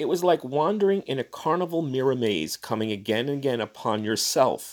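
An unremarkable speaking voice from a man at medium pitch, with lively intonation, in a very clean recording with a silent background. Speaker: podcast host reading fiction aloud. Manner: measured, expressive storyteller delivery; casual, chatty in the intro and outro.

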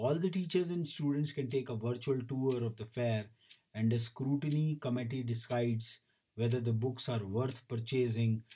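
A man talks at a moderate pace in a medium pitch with ordinary variation. His tone is dark and mellow, somewhat breathy. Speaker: news bulletin presenter. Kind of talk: news bulletin read aloud, steady reading of headlines to educators and students. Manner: formal, measured newsreader pace, with occasional filler hesitations.

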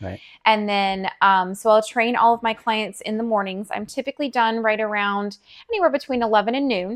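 With an American accent and an unremarkable speaking voice, a woman talks at a moderate pace in a fairly high pitch, her intonation fairly even against a quiet background. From Colorado, small town. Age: 40s. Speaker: personal trainer and chef. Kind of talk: casual interview chat.

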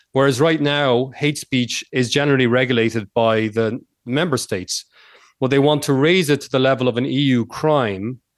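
A man's medium-pitched voice shows ordinary pitch variation at a moderate pace. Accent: American. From Ireland. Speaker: political philosophy academic. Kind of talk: radio interview.

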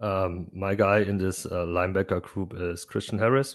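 A man speaks with a German accent at a moderate pace. His pitch is fairly low and his intonation fairly even. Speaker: fantasy football podcaster. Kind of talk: casual interview chat about fantasy football. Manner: halting, hesitant, with fillers.

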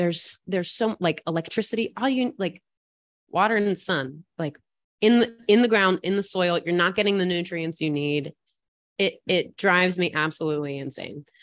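In an American accent, a woman speaks at a moderate pace with a plain, everyday voice. Her pitch is fairly low, with ordinary pitch variation. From West Virginia, central Appalachia. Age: 20s. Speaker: farmer. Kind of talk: casual chat.

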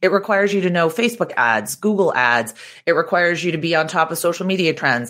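A woman with an American accent, fairly low in pitch, very fast and lively in intonation, on a very clean recording with a silent background. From Boston, US. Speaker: digital marketing expert and author. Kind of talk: casual interview chat.

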